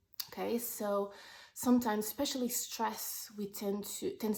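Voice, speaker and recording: A woman with a non-native accent speaks at a moderate pace in a dark, mellow tone. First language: not English. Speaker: wellness vlogger. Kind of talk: personal vlog monologue. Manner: halting, with fillers.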